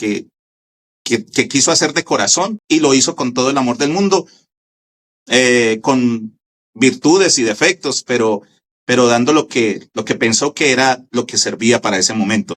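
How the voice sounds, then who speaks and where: The speaker talks fairly slowly in a Colombian accent with lively intonation. The sound is dry and close, with no echo. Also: man, medium pitch for a man. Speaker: radio station founder and broadcaster. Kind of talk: interview answer.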